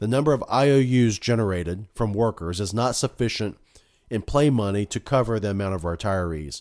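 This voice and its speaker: This man has an unremarkable speaking voice, fairly low in pitch, with ordinary pitch variation. He talks at a moderate pace on a very clean recording with a silent background. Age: 40s. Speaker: podcast host and family doctor. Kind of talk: solo political commentary monologue. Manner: casual, with frequent fillers.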